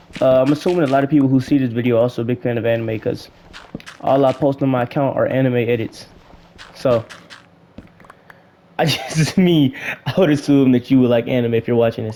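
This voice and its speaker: The tone is animated and the pace fairly quick. Noticeable background noise runs underneath. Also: man. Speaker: gaming YouTuber. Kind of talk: casual gameplay commentary. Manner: fast.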